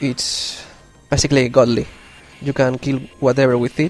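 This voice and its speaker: A man's medium-pitched voice with a non-native accent, backed by music in the background. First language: not English. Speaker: gamer commentator. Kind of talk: let's play game commentary.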